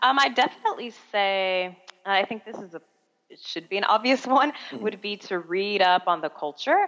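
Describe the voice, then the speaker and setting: A plain, everyday voice: a woman of medium pitch with an American accent, lively intonation, big swings in loudness and a moderate pace. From Miami, Florida, US. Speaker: online English teacher, former teacher abroad. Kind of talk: interview.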